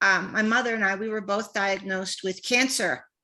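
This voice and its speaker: On a very clean recording with a silent background, a woman speaks at a moderate pace in a fairly high voice with a bright, sharp tone. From Canada. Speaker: author. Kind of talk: panel discussion.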